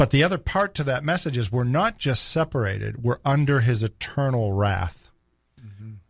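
A man with an American accent speaks at a moderate pace in a medium pitch, his somewhat breathy voice carrying lively intonation over a very clean recording with a silent background. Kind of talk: radio talk show. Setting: radio studio.

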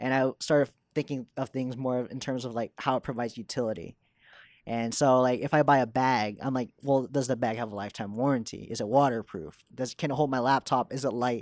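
In a very clean recording with a silent background, a man with a normal speaking voice talks at a fairly quick pace, medium pitch and fairly even intonation. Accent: American. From Texas (Dallas). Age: 20s. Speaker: motion designer. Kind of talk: casual interview chat.

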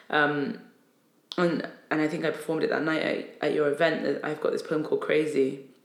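There is audible room echo as a woman speaks at a fairly quick pace. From northern England, Newcastle upon Tyne. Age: 30s. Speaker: poet and spoken word artist. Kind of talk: casual chat. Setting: office.

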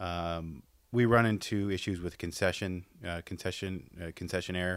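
Recorded very cleanly against a silent background, a man speaks with a very deep, low pitch and ordinary pitch variation. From Madison, Wisconsin. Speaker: sports team sales executive. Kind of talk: casual interview.

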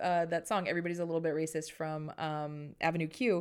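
A woman with an ordinary speaking voice, fairly low in pitch, at a moderate pace, in a very clean recording with a silent background. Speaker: podcast host. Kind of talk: casual chat.

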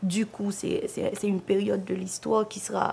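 At a medium pitch and a moderate pace, a woman speaks in a flat, monotone way. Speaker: theatre artist. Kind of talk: documentary interview.

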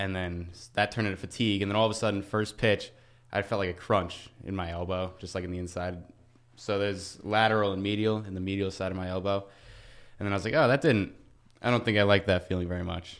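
A man talks very fast with a fairly low pitch and fairly even intonation, on a very clean recording with a silent background. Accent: American. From Long Island, New York. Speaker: college baseball pitcher. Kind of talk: interview.

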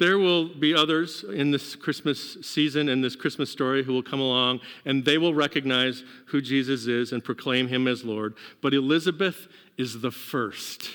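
A man with an unremarkable speaking voice keeps a medium pitch, a moderate pace and ordinary pitch variation. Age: 50s. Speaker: pastor. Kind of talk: sermon. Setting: church service, partly streamed to homes.

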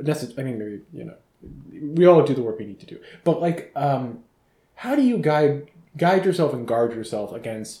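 A somewhat breathy man with fairly high pitch and lively intonation speaks at a moderate pace, with big swings in loudness and long, frequent pauses. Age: 30s. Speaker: podcast host. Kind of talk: casual interview. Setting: friend's kitchen, in person.

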